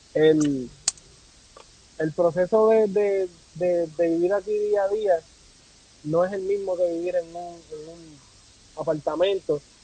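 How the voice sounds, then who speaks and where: Against noticeable background noise, a man speaks at a very slow pace with long, frequent pauses, high pitch, fairly even intonation and big swings in loudness. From Puerto Rico. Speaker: content creator and amateur photographer. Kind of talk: casual interview conversation.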